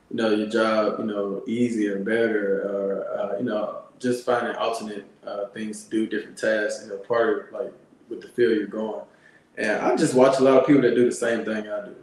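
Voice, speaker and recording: A man with an American accent at a moderate pace, big swings in loudness, and noticeable background noise. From Alabama, US South. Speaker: Air Force veteran and landscaping business owner. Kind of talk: interview. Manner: halting, many fillers.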